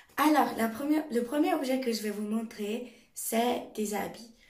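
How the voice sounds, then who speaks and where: Speech comes at a fairly slow pace with ordinary pitch variation. Audible room echo is present. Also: woman. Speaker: YouTuber. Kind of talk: show-and-tell vlog.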